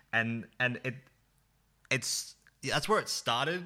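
Lively intonation and a bright, sharp tone, with an Australian accent. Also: man. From Australia, central Victoria (Bendigo). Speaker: video producer and creative director. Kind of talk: casual chat. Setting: video call.

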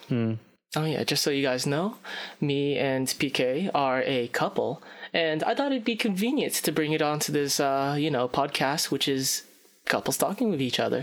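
An unremarkable speaking voice moves at a moderate pace with ordinary pitch variation. Its loudness stays very even. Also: man, fairly high pitch for a man. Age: 20s. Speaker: guest, friend of hosts. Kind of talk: casual chat.

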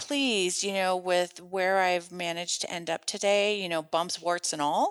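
On a very clean recording with a silent background, a woman with an American accent speaks at a moderate pace in a plain, everyday voice. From Minnesota, US. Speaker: lawyer. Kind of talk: interview conversation.

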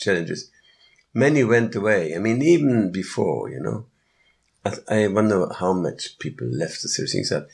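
A man with vocal fry and a fairly low pitch, at a fairly slow pace with lively intonation. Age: 70s. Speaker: yoga festival organizer and musician. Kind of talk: interview. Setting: live at a festival. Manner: halting.

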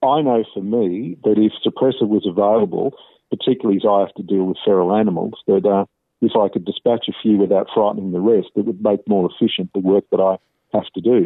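With an Australian accent, a man talks at a fairly quick pace in a fairly low pitch and fairly even intonation. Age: 50s. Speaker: professor and archbishop, author. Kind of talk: interview. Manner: measured.

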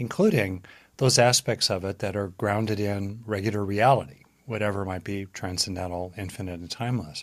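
A man's fairly low voice at a fairly quick pace with fairly even intonation, in a very clean recording with a silent background. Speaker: psychologist and author. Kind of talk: guided meditation and interview. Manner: calm, reflective.

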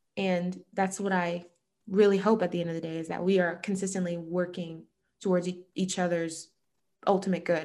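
A woman's normal speaking voice at medium pitch and a moderate pace, against a quiet background. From United States, child of Jamaican immigrants. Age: 20s. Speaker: illustrator and social justice advocate. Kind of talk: casual interview conversation.

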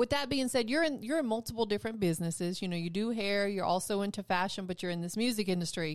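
In an upbeat tone with lively intonation, a woman speaks at medium pitch on a very clean recording with a silent background. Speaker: radio host. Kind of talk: casual radio interview. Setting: radio studio. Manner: upbeat, friendly.

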